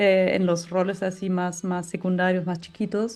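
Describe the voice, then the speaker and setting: A woman with a German accent, music in the background. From Germany. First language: German (speaking Spanish). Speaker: film director. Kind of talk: interview. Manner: halting.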